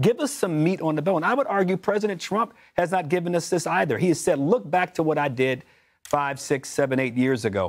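Against a quiet background, a man talks at a fairly quick pace with a fairly high pitch, lively intonation and very even loudness. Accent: American. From US South, Memphis; Tennessee. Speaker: political commentator. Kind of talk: panel discussion. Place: studio. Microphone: lapel.

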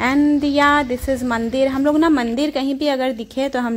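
The woman keeps her intonation fairly even. She talks at a moderate pace. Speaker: travel vlogger. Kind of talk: casual vlog chat. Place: open country. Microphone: phone near.

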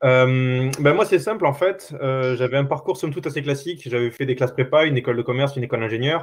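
The pace is very fast. The background is quiet. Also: man. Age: 20s. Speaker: full-time climate activist; panelist. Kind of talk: panel discussion. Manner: halting, many restarts. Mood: reflective, personal. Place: home room. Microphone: video call.

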